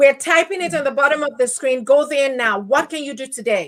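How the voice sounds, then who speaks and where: This woman has a Nigerian accent and a high pitch. Her tone is bright and sharp, with ordinary pitch variation. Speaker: podcast host. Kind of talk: interview.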